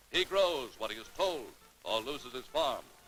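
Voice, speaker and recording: Music plays in the background while a man talks with ordinary pitch variation. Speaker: newsreel narrator. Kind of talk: newsreel narration.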